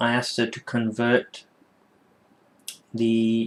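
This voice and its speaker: A man speaks with a British accent at a medium pitch. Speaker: tech reviewer. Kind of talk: casual product review to camera. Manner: hesitant, many filler words.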